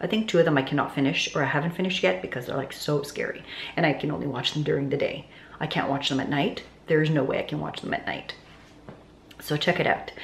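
Audible room echo and light background noise surround a woman talking very fast in a very deep, low pitch. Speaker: lifestyle vlogger. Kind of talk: casual vlog chat. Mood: chatty, lightly laughing. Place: home room. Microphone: phone near.

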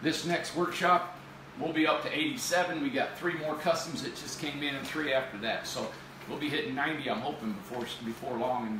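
There is audible room echo and light background noise in this recording. A man speaks at a moderate pace. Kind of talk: casual livestream presentation. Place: office. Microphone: camera far.

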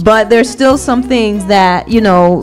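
A woman at a moderate pace, with faint music in the background. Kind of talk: group discussion answer. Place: home room. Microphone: studio mic.

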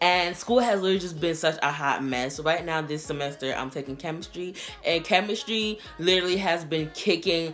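A woman speaks in a fairly low voice. Faint music plays in the background. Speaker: youtuber. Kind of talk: casual vlog chat. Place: home room. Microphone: camera far.

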